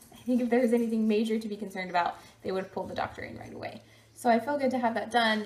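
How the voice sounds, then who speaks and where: A woman's fairly high voice at a very fast pace, with fairly even intonation. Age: 20s. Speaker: vlogger. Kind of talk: casual talk to camera. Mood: cheerful, upbeat. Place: home room.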